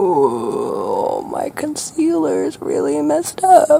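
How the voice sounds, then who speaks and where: A man puts on a character voice with an extremely high pitch and talks very slowly. Clear background noise can be heard. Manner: soft and chatty.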